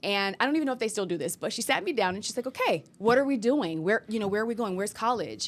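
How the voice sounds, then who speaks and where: A woman's fairly high voice at a very fast pace, with lively intonation and hardly any pauses. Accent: American. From US South, Augusta, Georgia. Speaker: news anchor. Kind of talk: casual interview conversation.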